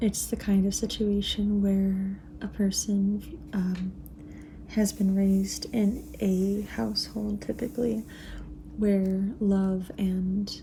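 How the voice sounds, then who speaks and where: The speaker talks softly and at a very slow pace. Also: woman. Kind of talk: ASMR reading and rambling about astrology. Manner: soft-spoken.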